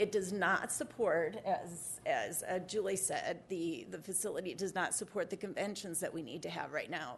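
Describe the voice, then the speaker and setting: A woman at a moderate pace with hardly any pauses, in audible room echo. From South Dakota, Rapid City. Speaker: civic board member speaking at public comment. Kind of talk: public comment at city council meeting. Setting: city government meeting.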